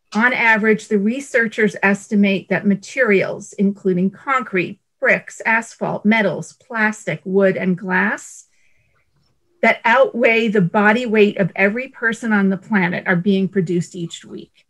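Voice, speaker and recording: The woman speaks fairly slowly in a medium pitch with ordinary pitch variation. The background is quiet. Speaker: environmental advocate; presenter. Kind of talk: panel presentation. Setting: video call. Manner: animated. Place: home room. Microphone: earbuds.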